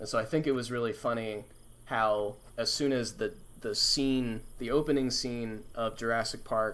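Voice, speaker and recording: Using a plain, everyday voice, a man speaks at medium pitch and a moderate pace with fairly even intonation. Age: 20s. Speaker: paleontologist streamer. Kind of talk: casual chat. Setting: live stream.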